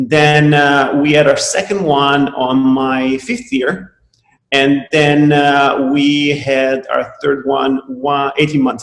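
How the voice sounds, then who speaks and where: A man with an Italian accent speaks at a very slow pace. His pitch is fairly high and his intonation fairly even. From Italy. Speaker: chiropractor. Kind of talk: webinar talk. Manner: halting, many fillers.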